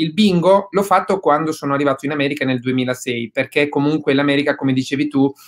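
Against a quiet background, a man speaks very fast at a fairly high pitch with fairly even intonation. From southern Italy. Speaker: real estate investor; guest. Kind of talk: webinar interview. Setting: video call. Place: home room. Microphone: webcam.

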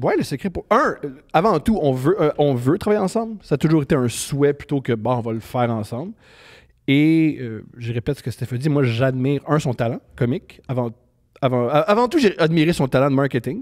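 A man speaks with lively intonation at a moderate speed, and the background is quiet. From Quebec, Montreal. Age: 30s. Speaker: comedian. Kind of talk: casual chat. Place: studio. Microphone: handheld.

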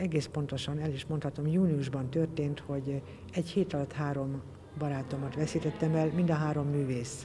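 A woman with a very deep, low pitch speaks at a moderate pace and with fairly even intonation over light background noise. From Hungary, Balmazújváros (Great Plain); Hungary. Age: 60s. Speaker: textile artist. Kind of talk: interview. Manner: halting. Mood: reflective, warm. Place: hall.

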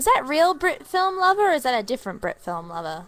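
A woman speaks quietly and fast in a high, fairly bright voice. Her pitch swings big.

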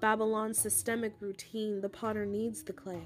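Fairly high-pitched female speech accompanied by background music. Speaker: poet. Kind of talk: spoken word poetry reading.

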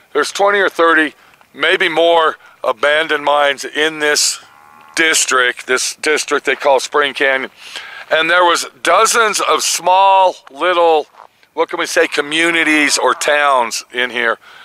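A man talks at a fairly slow pace with ordinary pitch variation. His loudness stays very even, and the sound is dry with no echo. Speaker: explorer vlogger. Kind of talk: casual vlog chat. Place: open country. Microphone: phone near.

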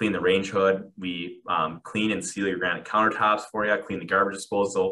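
A man with an American accent and a bright, sharp tone speaks at a moderate pace in a monotone, flat intonation, with hardly any pauses. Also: fairly low pitch for a man. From Minnesota. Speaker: home maintenance business owner. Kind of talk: interview. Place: office. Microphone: earbuds.

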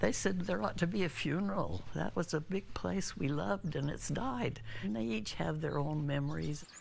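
Barely pausing, a woman speaks with a very deep, low pitch that swings very widely, her voice showing vocal fry. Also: moderate pace. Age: 80s+. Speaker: homeowner who lost property in wildfire. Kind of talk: interview answer.

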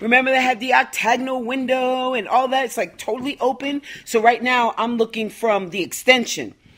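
A high-pitched woman at a fairly quick pace. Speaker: homeowner vlogger. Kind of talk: casual vlog chat. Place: home room. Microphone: phone near.

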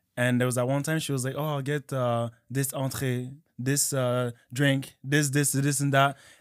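The background is quiet as a man talks at a moderate pace. His intonation is monotone and flat. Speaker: podcast co-host. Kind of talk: casual chat. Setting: studio. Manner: playful, jokey. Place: studio. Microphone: studio mic.

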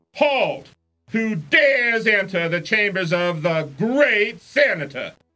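The speaker uses a put-on character voice at a fairly high pitch and a fairly slow pace. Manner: commanding.

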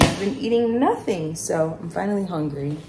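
A woman talks at a moderate pace. Noticeable background noise sits behind her voice. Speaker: vlogger. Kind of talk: casual vlog chat. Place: kitchen. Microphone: phone near.

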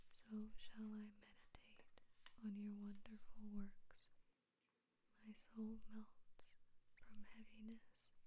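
Soft-spoken and gentle in tone, the voice moves at a very slow pace with long, frequent pauses. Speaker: ASMR channel host. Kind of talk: soft-spoken bible reading for sleep / ASMR. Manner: soft-spoken, slow, gentle.

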